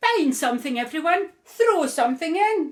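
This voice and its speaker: At a moderate pace, a woman puts on a character voice with an extremely high pitch. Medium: read story.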